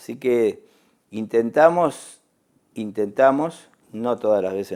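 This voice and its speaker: The voice has a dark, mellow tone and lively intonation. It carries an Argentine accent. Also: man. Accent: Rioplatense Argentine Spanish. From Argentina. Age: 60s. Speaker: ambassador. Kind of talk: TV interview. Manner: halting, many fillers and repetitions.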